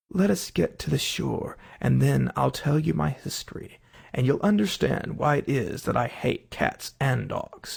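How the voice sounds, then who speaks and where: A man puts on a shaky character voice. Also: moderate pace. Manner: low, trembling, pale with passion.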